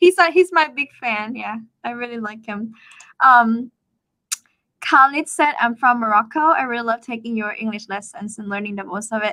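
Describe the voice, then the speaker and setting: A woman with a Thai accent speaks in a fairly high pitch with a bright, sharp tone and big swings in loudness. Her delivery has long, frequent pauses, and the sound is dry and close with no echo. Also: lively intonation. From Thailand. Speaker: Thai teacher. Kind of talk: casual chat. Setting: livestream. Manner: fast.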